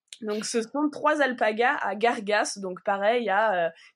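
On a very clean recording with a silent background, a woman with a fairly high pitch talks at a very slow pace with ordinary pitch variation. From southern France, Provence village. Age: 30s. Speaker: wool artist. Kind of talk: interview. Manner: halting.

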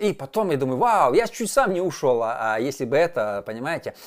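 A man's pitch swings very widely as he talks at a moderate pace, in a very clean recording with a silent background. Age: 40s. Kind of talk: monologue video talk.

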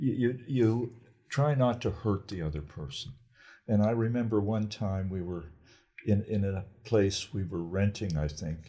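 At a fairly slow pace, a man speaks in a dark, mellow tone with a fairly low pitch. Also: ordinary pitch variation. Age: 80s+. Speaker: grandparent telling life story. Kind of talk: casual chat. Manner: halting.

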